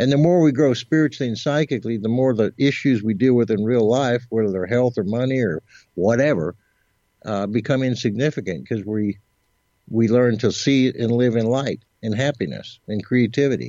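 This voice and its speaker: A man's unremarkable speaking voice at medium pitch, fairly quick, with ordinary pitch variation. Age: 60s. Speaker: psychic and musician. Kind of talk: interview.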